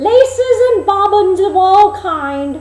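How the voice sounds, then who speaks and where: Putting on a character voice, a woman talks at a very slow pace with an extremely high pitch and lively intonation. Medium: read story. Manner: scheming.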